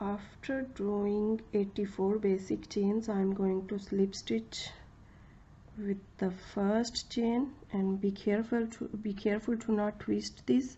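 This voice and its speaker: A somewhat breathy woman's voice at medium pitch, moving at a very slow pace. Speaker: crochet tutorial creator. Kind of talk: tutorial. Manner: halting, many fillers.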